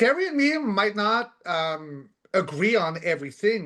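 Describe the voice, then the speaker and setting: Against a quiet background, a man speaks loudly and at a fairly slow pace, his high voice moving with lively intonation. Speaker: co-host of spiritual talk show. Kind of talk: casual chat. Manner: halting, many fillers.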